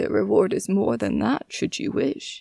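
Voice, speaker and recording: In a put-on character voice, the speech unfolds at a moderate tempo. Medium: read story. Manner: gentle, formal, coaxing.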